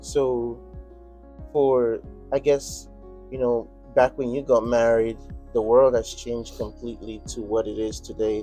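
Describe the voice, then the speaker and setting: A man talks fairly slowly, with long, frequent pauses, while music plays in the background. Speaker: street interviewer. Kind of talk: interview questions.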